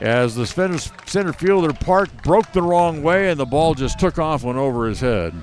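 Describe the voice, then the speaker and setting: There is noticeable background noise as a man speaks. His pitch is fairly high and his pace moderate. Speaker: play-by-play announcer. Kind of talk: live sports commentary.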